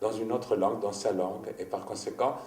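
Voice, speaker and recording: With a Greek accent, a man speaks in fairly even intonation. Audible room echo and noticeable background noise fill the recording. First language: Greek (speaking French). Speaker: writer. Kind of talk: interview. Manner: halting.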